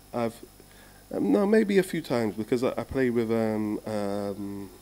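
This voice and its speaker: A man speaks in a London accent with a dark, mellow tone. His pitch swings very widely. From London, England. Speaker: steel drum musician. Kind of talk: casual interview.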